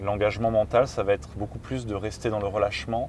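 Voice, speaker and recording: Speaking at a moderate pace, a man with an ordinary speaking voice has a fairly low pitch. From France. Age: 30s. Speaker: freediving champion. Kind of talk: interview.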